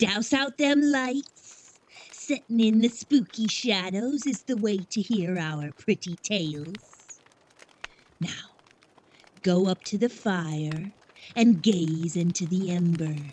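In a put-on character voice, a female-sounding speaker at medium pitch talks at a fairly slow pace with long, frequent pauses. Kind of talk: 1930s horror radio host. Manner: cackling, relishing the spooky tale.

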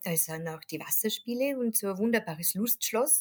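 A woman's somewhat breathy voice with lively intonation at a moderate pace. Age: 40s. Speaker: tour guide. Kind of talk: interview about travel tips.

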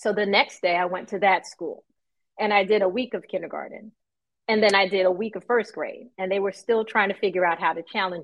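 In an ordinary speaking voice, the speech moves at a fairly quick pace with fairly even intonation and big swings in loudness. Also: woman, medium pitch for a woman. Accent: American. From New York. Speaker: math educator. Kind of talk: interview.

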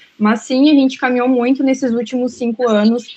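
In a fairly high voice, a woman speaks with monotone, flat intonation. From Brazil. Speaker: migration aid worker. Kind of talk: panel discussion.

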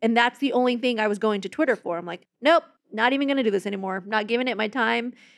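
Talking very fast, a woman with a fairly high voice uses ordinary pitch variation. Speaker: podcast co-host. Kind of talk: casual chat.

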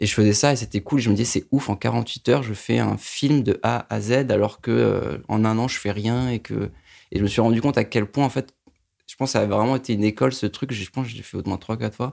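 Vocal fry runs through a voice at a fairly quick pace with ordinary pitch variation, in a very clean recording with a silent background. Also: man, fairly low pitch for a man. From Paris suburbs, France. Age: 20s. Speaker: film director. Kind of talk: interview.

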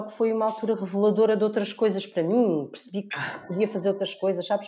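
A woman with a Lisbon accent talks at a fairly quick pace over noticeable background noise. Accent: European Portuguese, Lisbon. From Portugal, Lisbon area. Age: 40s. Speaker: blogger and author. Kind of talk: casual chat.

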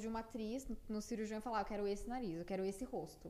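In a normal speaking voice, a woman talks at a fairly quick pace with fairly even intonation. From Brazil, Piracicaba (São Paulo state interior). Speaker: plastic surgery resident doctor. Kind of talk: casual interview chat.

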